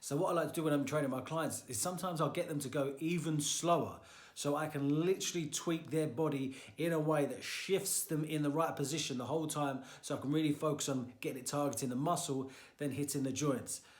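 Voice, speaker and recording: Audible room echo surrounds a man speaking very fast, fairly high in pitch with fairly even intonation. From Florida. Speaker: personal trainer. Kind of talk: tutorial.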